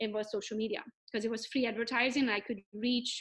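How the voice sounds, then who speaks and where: A woman with a Hungarian accent, very fast pace and fairly high pitch. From Romania, Hungarian. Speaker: real estate agent. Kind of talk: podcast interview. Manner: animated.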